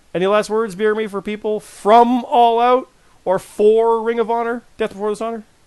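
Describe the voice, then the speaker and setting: This man's voice sits high in pitch. He speaks at a moderate pace with a monotone, flat intonation. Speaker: podcast host. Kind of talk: casual chat.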